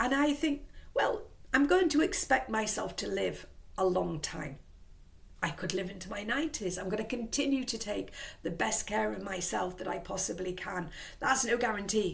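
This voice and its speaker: Vocal fry and lively intonation in an English accent, at a moderate pace, with audible room echo. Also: woman, medium pitch for a woman. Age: 60s. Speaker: vlogger. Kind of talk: casual vlog monologue. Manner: rambling, conversational.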